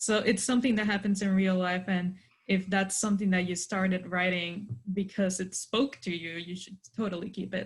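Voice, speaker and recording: A somewhat breathy woman talks with hardly any pauses. Her intonation is fairly even. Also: medium pitch for a woman, moderate pace. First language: Spanish. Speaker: author on a panel. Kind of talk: virtual panel discussion.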